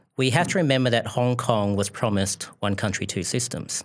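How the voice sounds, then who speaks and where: Heard on a very clean recording against a silent background, a man talks with an Australian accent. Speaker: foreign policy researcher. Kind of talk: panel discussion. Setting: studio.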